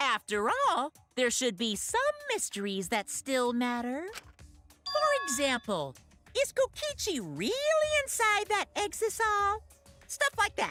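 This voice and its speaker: A put-on character voice speaks at an extremely high pitch and fairly slow pace. Faint music plays in the background. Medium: video game. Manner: playful, theatrical.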